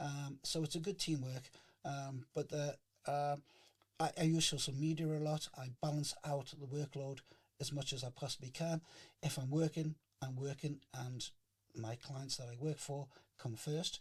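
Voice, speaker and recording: A man with a Geordie accent speaks at a fairly high pitch, somewhat breathy. His intonation is monotone and flat, broken by long, frequent pauses. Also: moderate pace. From northern England, Newcastle. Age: 60s. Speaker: chef and union founder. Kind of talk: interview. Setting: podcast. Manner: hesitant, many fillers.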